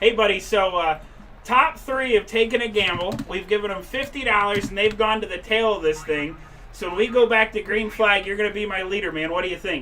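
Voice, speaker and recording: A man with a Boston accent speaks in a raised, projected voice at a high pitch and a fairly quick pace. His pitch varies in an ordinary way, and the background noise is noticeable. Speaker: race broadcast announcer. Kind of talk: live race broadcast. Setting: announcer booth. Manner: animated.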